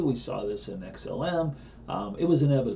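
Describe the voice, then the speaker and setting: Room echo is audible as a man talks. His pitch is medium, with lively intonation. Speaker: crypto trading analyst. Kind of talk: live trading broadcast.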